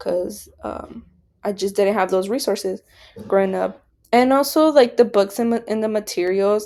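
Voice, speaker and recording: Speaking at a moderate pace in a Spanish accent, a woman uses a medium pitch with ordinary pitch variation. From Nebraska, US. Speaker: education student. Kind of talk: class presentation. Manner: hesitant, many fillers.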